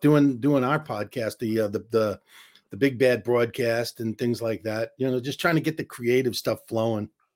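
This man talks at a medium pitch and a moderate pace, on a very clean recording with a silent background. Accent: New York. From New York, Queens. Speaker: comedian. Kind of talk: casual chat.

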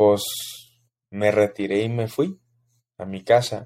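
Very slowly, a man speaks at a fairly low pitch in a monotone, flat intonation with a dark, mellow tone. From Mexico City, Mexico. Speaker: podcast host. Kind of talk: casual solo monologue.

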